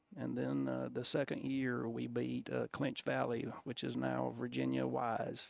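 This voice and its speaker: A man with an Alabama accent speaks at a fairly slow pace, hardly pausing at all. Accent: Southern US (Alabama). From US South, Alabama. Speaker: football coach. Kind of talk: interview storytelling. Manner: halting, many fillers and restarts.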